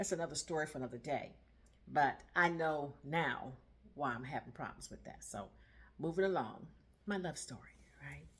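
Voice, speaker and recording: Marked by vocal fry and long, frequent pauses, a woman's very deep, low voice moves at a moderate pace with very wide pitch swings. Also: big swings in loudness. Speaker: vlogger. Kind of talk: casual storytelling monologue. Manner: chatty, conversational.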